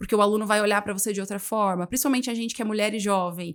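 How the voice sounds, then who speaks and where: Heard in a very clean recording with a silent background, a woman uses an unremarkable speaking voice, fairly high in pitch, with fairly even intonation. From Brazil, Jundiaí, São Paulo interior. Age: 30s. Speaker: history teacher and teacher trainer. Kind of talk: podcast interview.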